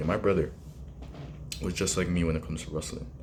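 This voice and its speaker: Soft-spoken yet animated, a man talks very fast against noticeable background noise. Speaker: wrestling commentary vlogger. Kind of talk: casual vlog commentary. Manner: quiet, soft-spoken.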